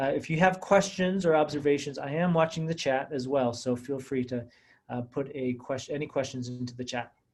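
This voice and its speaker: A man talks fairly quickly, his pitch fairly high with ordinary variation. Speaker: webinar panelist. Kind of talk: webinar presentation. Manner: hesitant, many fillers.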